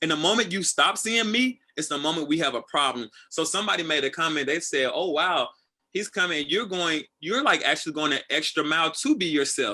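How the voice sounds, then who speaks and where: Loud and animated, this man's voice is bright and sharp, pitched fairly high, with lively intonation and a fairly quick pace. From Tennessee. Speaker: assistant director. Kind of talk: casual interview.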